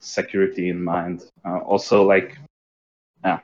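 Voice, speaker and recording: A man is speaking. He has a non-native accent. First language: not English. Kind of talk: technical casual chat. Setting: live online stream. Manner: halting, searching for words.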